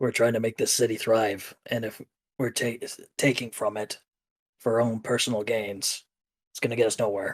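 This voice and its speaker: A man puts on a raspy character voice at a medium pitch, with monotone, flat intonation. He talks at a moderate pace with long, frequent pauses. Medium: actual play. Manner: direct, earnest.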